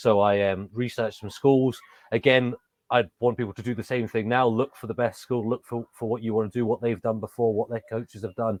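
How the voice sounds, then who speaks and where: A man with a medium pitch and an English accent talks at a fairly quick pace in a monotone, flat intonation, the sound dry and close with no echo. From England. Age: 30s. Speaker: professional wrestler. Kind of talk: interview. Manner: hesitant, many fillers and restarts.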